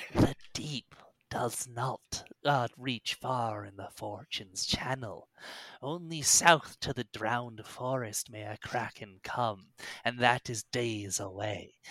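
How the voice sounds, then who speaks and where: A man's put-on character voice at medium pitch, cackling and hissing at a fairly slow pace. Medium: actual play. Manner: hissing, cackling.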